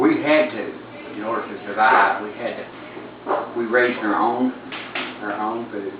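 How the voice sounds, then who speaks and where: A man with an Appalachian accent talks at a moderate pace amid audible room echo and noticeable background noise. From Appalachia, West Virginia / Buchanan County, Virginia. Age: 60s. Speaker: interviewee, Appalachian resident. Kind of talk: interview. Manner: halting.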